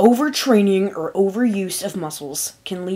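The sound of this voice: A reading voice that sounds unforced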